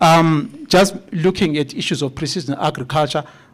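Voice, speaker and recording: Using an ordinary speaking voice, a man talks at a fairly high pitch with fairly even intonation. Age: 50s. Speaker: agricultural researcher. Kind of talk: conference presentation.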